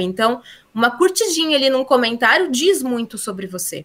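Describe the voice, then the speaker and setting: This woman's voice is high and swings very widely in pitch. She talks at a fairly quick pace. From Brazil, interior (countryside). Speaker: LinkedIn consultant and teacher. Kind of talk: interview.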